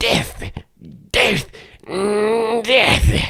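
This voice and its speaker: A raspy, put-on character voice pitched fairly high. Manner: silly, exaggerated.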